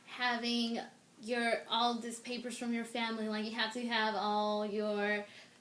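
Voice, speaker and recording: A woman speaks at a very slow pace with a fairly high pitch and monotone, flat intonation. Room echo can be heard. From Mexico. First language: Spanish. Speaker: interviewee, immigrant. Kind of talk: interview.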